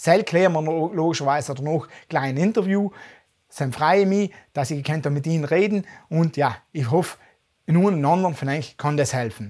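With a South Tyrolean accent, a man of fairly high pitch talks at a moderate pace with ordinary pitch variation against a quiet background. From South Tyrol, Passeier valley; South Tyrol, Italy. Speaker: finance YouTuber. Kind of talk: interview. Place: home room.

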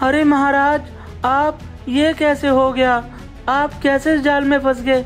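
A female-sounding put-on character voice comes out shaky at a moderate pace. Clear music plays in the background. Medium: cartoon. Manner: trembling, pleading.

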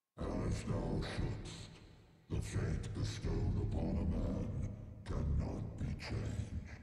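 A man's put-on character voice, extremely low and very slow, dark and mellow in tone, with vocal fry and monotone, flat intonation.

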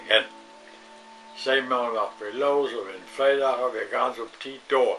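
Faint music plays in the background as a man with a northern German accent talks at a fairly slow pace. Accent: Low German (Plattdeutsch). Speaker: joke teller; grandfather storyteller. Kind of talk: joke telling. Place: home room. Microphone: webcam.

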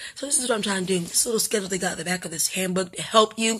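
At a very fast pace, a woman talks with fairly even intonation. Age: 40s. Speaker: vlogger and art student. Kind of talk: casual vlog. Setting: at home. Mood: chatty, self-deprecating. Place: home room. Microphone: phone near.

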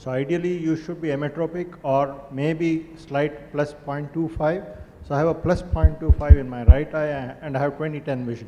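A man with an unremarkable speaking voice and fairly high pitch speaks at a fairly slow pace with fairly even intonation and hardly any pauses, over light background noise. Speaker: eye surgeon. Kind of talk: panel discussion. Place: hall. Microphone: handheld.

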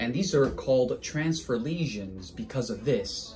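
A man talks at a fairly slow pace in a somewhat breathy voice, with light background noise. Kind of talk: clinical explanation to viewers. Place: office.

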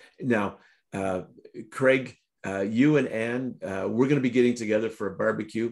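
Moderate pace and fairly even intonation from a man, over a quiet background. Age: middle-aged. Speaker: prayer broadcast host. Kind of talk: devotional talk and interview; casual conversation, announcements. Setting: online video broadcast. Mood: warm, cheerful. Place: home room. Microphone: video call.

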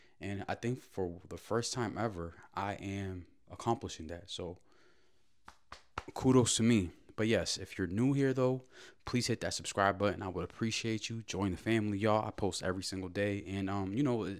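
A normal speaking voice from a man, fairly low in pitch with ordinary pitch variation, at a moderate pace against a quiet background. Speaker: daily vlogger. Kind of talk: casual vlog chat. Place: kitchen. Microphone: handheld.

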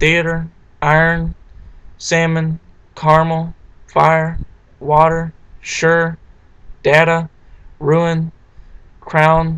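A man with an American accent speaks at a very slow pace. His speech has long, frequent pauses over a quiet background. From southeastern Virginia, USA. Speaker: accent tag vlogger. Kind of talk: casual talk to camera, accent word list. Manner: casual, hesitant. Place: home room. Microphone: webcam.

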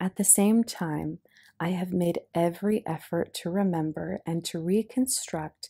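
A woman's fairly low, dark, mellow voice in a calm, soothing tone, dry and close with no echo. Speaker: hypnotist. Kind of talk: audiobook reading.

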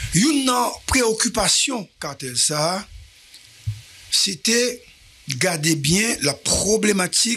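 Here a man speaks at a very slow pace. His voice is raised and projected. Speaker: news show host. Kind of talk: news commentary. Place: studio. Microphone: studio mic.

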